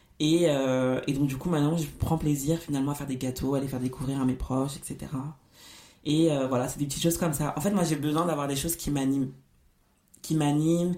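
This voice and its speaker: Dark and mellow in tone, a woman's voice sits at a very deep, low pitch. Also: fairly even intonation, fairly quick pace. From Paris suburbs, France. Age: 20s. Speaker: podcast host. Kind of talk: solo podcast monologue.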